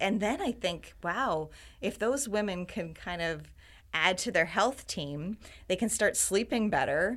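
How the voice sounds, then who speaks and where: With a Canadian accent, a woman has an ordinary speaking voice at medium pitch, with lively intonation and a fairly slow pace. The recording is very clean, with a silent background. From Ontario, Canada. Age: 50s. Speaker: health community founder. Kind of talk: interview conversation.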